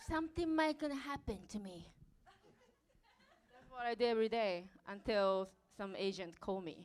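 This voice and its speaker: Speaking in a Japanese accent at a moderate pace, a woman with a fairly high voice swings very widely in pitch and in loudness, with long, frequent pauses. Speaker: dancer. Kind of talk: live stage interview. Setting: stage with audience.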